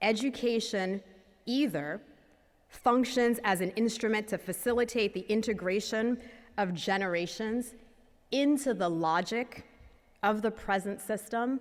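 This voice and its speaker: Speaking at a fairly slow pace with long, frequent pauses, a woman uses a fairly high pitch and ordinary pitch variation. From US Northeast, inner-city Boston, Haitian immigrant family. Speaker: nonprofit founder and CEO. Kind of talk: conference talk. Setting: stage with audience.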